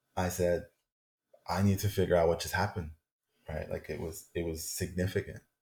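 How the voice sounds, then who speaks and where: Somewhat breathy, a man with a very deep, low pitch talks at a fairly quick pace in monotone, flat intonation, broken by long, frequent pauses. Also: very clean recording, silent background. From Colombia. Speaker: shamanic and tantric healer. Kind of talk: casual interview chat.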